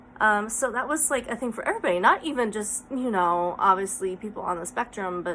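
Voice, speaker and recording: The voice has lively intonation against noticeable background noise. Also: woman. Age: 30s. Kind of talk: casual vlog talk.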